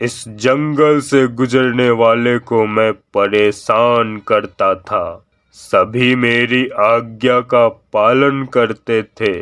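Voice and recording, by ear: Using a cartoonish character voice of medium pitch, a man talks at a very slow pace with hardly any pauses.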